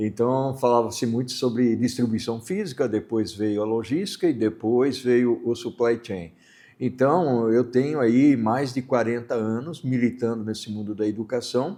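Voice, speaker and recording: A man's dark, mellow voice at a fairly slow pace, with ordinary pitch variation and a quiet background. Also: medium pitch for a man. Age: 60s. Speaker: supply chain consultant and educator. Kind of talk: interview. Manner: halting with fillers.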